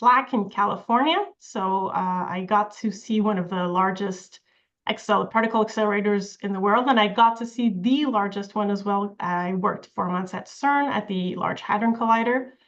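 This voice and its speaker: A woman speaks with a French accent at a medium pitch. Her intonation is fairly even. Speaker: professor. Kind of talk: lecture. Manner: many filler sounds.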